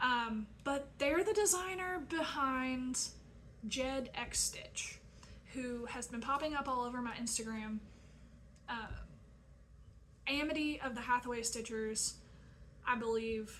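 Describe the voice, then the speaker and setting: In a Southern accent, a woman speaks at a fairly slow pace with long, frequent pauses. Her voice is high with ordinary pitch variation, and there is audible room echo. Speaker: crafting video creator. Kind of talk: casual vlog chat. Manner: frequent fillers (um, uh).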